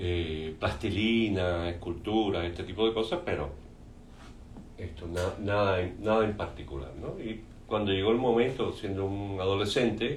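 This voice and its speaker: With audible room echo, a man talks at a fairly slow pace in a fairly low pitch. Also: ordinary pitch variation. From Cuba. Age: 60s. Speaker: painter. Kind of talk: interview. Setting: artist's studio.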